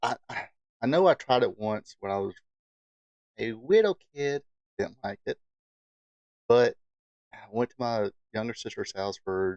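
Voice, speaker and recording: In a relaxed tone with a Southern US accent, a man speaks with ordinary pitch variation, big swings in loudness and long, frequent pauses, in a dry, close sound with no echo. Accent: Southern country. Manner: relaxed drawl.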